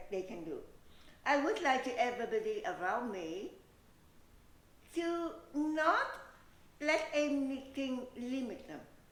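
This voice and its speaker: A woman talks at a very slow pace and a high pitch, with very wide pitch swings. Audible room echo surrounds her voice. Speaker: beauty pageant winner. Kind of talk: interview.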